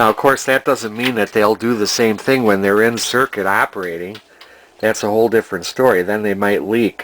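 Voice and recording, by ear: A man speaks at a moderate pace with a fairly low pitch. His tone is fairly bright and his intonation fairly even.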